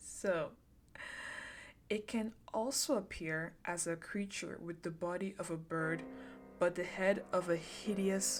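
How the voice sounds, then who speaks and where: A woman's medium-pitched voice with ordinary pitch variation at a very slow pace, music in the background. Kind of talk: ASMR horror story reading, casual chatty. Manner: casual, chatty, with asides.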